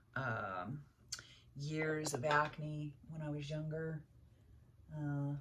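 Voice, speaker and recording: Over noticeable background noise, a woman with a very deep, low pitch talks at a very slow pace, her intonation fairly even and her pauses long and frequent. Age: 60s. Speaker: beauty vlogger. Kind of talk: casual makeup tutorial talk to camera.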